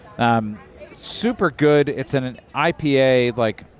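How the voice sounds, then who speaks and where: A man speaks very slowly, with noticeable background noise present throughout. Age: 40s. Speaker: podcast host. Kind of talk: casual chat. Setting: outdoors at a brewery.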